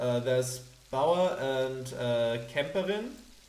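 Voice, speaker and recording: Noticeable background noise sits under a man's voice. His pitch is fairly high, and his intonation is lively. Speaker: let's play gamer. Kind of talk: casual gameplay commentary.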